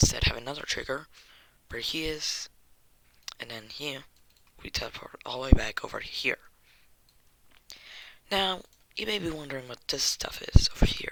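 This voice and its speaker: The speech is whispered at a moderate pace. Long pauses come often. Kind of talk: game tutorial narration.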